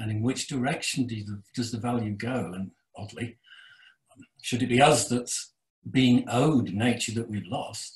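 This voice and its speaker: In a quiet background with audible room echo, a somewhat breathy man speaks at a fairly slow pace with ordinary pitch variation. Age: old. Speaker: retired geoscientist, audience member; webinar audience member. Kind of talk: Q&A question. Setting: video call. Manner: halting. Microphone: video call.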